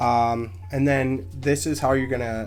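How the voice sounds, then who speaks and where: A man's voice with music playing in the background. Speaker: card game content creator. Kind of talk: casual talk to camera. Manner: hesitant, stumbling over words.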